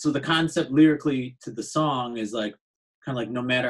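Moderate pace and ordinary pitch variation from a man, quiet background behind him. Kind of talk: interview answer. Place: home room. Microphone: video call.

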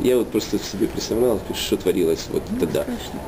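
Very fast male speech against noticeable background noise. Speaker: storyteller. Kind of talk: casual conversation. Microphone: phone near.

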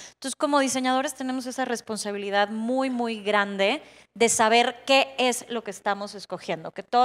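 A woman's plain, everyday voice at a moderate pace with fairly even intonation. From Baja California, Mexico. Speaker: interior designer, panelist; panelist. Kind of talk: panel discussion on stage. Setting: conference stage with audience. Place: stage. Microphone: handheld.

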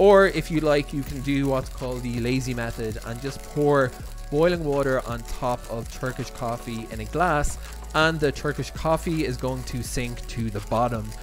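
Clear music can be heard behind the speech. The man talks at a moderate pace. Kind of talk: tutorial. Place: kitchen.

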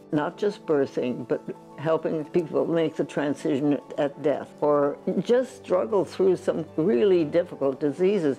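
A woman speaks with a very deep, low pitch and lively intonation at a fairly slow pace. Her loudness stays very even, with faint music in the background. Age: 80s+. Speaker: physician. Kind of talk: interview answer. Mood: warm, reflective. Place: home room. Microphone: lapel.

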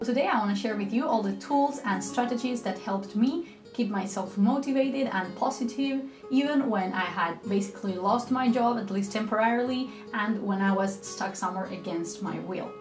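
A woman talks with ordinary pitch variation. Clear music plays in the background. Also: moderate pace. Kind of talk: casual vlog talk. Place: home room.

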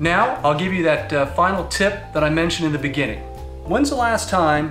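Clear music plays in the background as a man speaks at a moderate pace in a room with audible echo. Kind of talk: tutorial. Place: garage.

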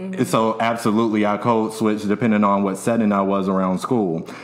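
This man has an unremarkable speaking voice with fairly low pitch. His intonation is fairly even and his loudness very even. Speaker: podcast host. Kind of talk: casual podcast chat. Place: studio. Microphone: studio mic.

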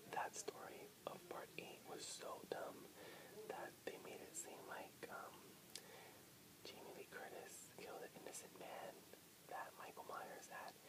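Whispering and soft-spoken, a man talks at a fairly slow pace with long, frequent pauses over loud background noise. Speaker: vlogger. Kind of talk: casual vlog chat. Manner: soft whispered late-night talk. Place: home room. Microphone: webcam.

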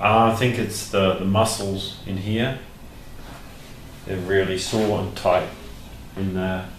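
Low in pitch, a man speaks at a slow pace with little pitch movement. Audible room echo surrounds his voice.

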